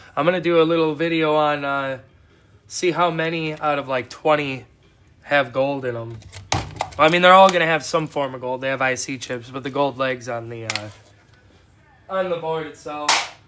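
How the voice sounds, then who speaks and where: A man with an American accent talks at a moderate pace in a fairly high voice with ordinary pitch variation. He takes long, frequent pauses, and noticeable background noise is present. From Wisconsin. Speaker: scrap metal hobbyist streamer. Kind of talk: casual livestream chat. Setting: outdoors in a cold shop. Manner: relaxed, with fillers.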